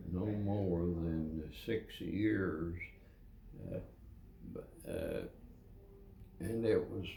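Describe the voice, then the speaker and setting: A very deep, low male voice at a very slow pace, with long, frequent pauses, ordinary pitch variation and noticeable background noise. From Kentucky. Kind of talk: interview answer. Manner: slow, hesitant.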